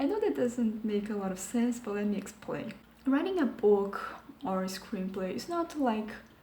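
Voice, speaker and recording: A soft-spoken woman with a fairly high pitch talks at a moderate pace with lively intonation over noticeable background noise. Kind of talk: video essay commentary. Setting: home recording.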